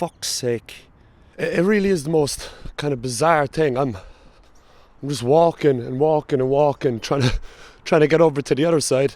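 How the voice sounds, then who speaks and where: A man with a strong Cork accent, a fairly high pitch, a moderate pace and ordinary pitch variation. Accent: thick Cork. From Ireland, Cork. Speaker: travel vlogger. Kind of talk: casual vlog narration.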